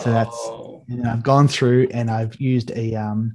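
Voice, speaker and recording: A man with an Australian accent speaks at medium pitch in a somewhat breathy voice. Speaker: digital artist. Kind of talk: casual interview.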